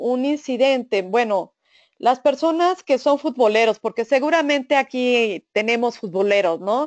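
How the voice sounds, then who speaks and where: Recorded dry and close with no echo, a woman with a high pitch talks at a fairly slow pace with lively intonation. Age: 50s. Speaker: food safety auditor and trainer. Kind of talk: webinar lecture. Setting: online webinar. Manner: halting, frequent fillers and repeated syllables.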